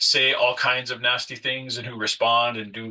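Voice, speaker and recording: A man talks at a medium pitch. There is noticeable background noise. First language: French. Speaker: nonprofit leader and consultant. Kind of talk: workshop presentation. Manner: hesitant, many fillers.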